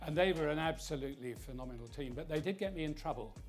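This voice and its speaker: With music playing in the background, a man talks fairly quickly. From South London. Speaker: former prime minister. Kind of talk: interview answer. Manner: measured, thoughtful.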